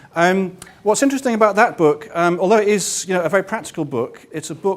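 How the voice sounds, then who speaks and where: A man with a London accent. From London, England. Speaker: workshop facilitator and author. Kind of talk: workshop talk. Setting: meetup room with live audience. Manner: hesitant, many fillers.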